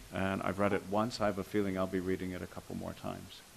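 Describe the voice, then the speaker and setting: A man is speaking here. The pace he keeps is fairly quick. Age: 50s. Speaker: monk panelist. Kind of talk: panel response talk. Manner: halting.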